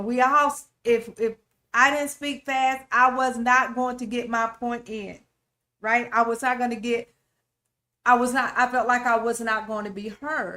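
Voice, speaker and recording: A loud woman speaks at a fairly slow pace with a high pitch and a bright, sharp tone. Her intonation is monotone and flat. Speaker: relationship talk show host. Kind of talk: faith-based relationship teaching.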